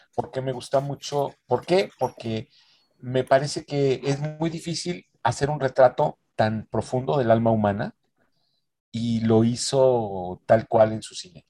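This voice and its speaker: A man with a Mexican accent, medium pitch and ordinary pitch variation, very slow pace, big swings in loudness, dry close sound with no echo. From Mexico (San Luis Potosí). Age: 60s. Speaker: film critic. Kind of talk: interview.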